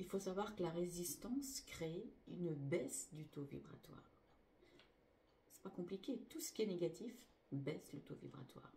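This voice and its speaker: Somewhat breathy with a dark, mellow tone, the speech moves at a fairly slow pace with lively intonation, big swings in loudness, and long, frequent pauses. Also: woman, fairly low pitch for a woman. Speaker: spiritual healer. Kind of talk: spiritual teaching.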